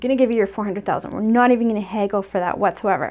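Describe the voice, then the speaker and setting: A woman's voice at a fairly high pitch. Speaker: real estate investor and coach. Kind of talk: tutorial. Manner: fast; casual, many fillers.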